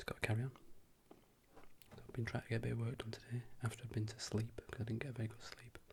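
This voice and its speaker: Soft-spoken delivery at a very fast pace, broken by long, frequent pauses. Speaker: works in a lab with chemists, night shifts. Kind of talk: ASMR soft-spoken ramble / catch-up talk to camera. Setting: indoor home recording with noisy neighbours' party in background.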